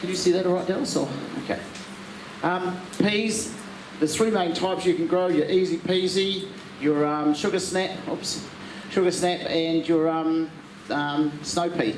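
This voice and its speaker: In a New Zealand accent, a man talks at a high pitch with fairly even intonation, with audible room echo and noticeable background noise. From New Zealand, South Island. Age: 60s. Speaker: garden centre workshop presenter. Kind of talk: workshop talk to audience. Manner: halting, many fillers.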